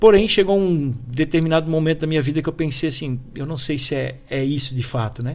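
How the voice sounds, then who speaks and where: Using a Santa Catarina accent, a man with a fairly high pitch talks at a fairly quick pace with hardly any pauses and ordinary pitch variation. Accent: Brusque (Santa Catarina). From Brusque, Santa Catarina, southern Brazil. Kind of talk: TV interview.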